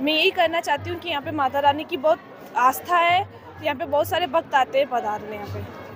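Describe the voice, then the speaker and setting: A woman's high voice with ordinary pitch variation, music playing in the background. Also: moderate pace. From Rajasthan, India (Parsoli). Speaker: devotee. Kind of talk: interview testimony.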